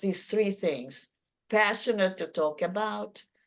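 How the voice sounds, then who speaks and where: A woman with a Hungarian accent, very slow pace, medium pitch and lively intonation, against a quiet background. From Hungary. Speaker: public speaking presenter. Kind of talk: workshop Q&A.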